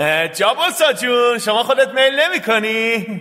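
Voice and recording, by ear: A man puts on a character voice, extremely high in pitch with big swings. His tone is bright and sharp.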